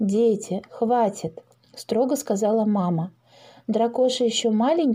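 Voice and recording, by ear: The passage is read aloud in a natural voice.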